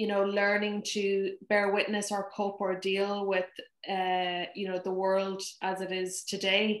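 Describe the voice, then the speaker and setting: A woman speaks very slowly in a Donegal accent, her intonation flat and monotone. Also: medium pitch for a woman. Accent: Irish, Donegal. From Ireland (Donegal). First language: Irish Gaelic. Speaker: poet. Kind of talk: conversation between poets.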